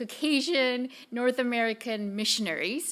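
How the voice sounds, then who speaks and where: The voice has a bright, sharp tone and keeps a moderate pace. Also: woman. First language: not English. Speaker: director of a mission study center. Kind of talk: conference presentation.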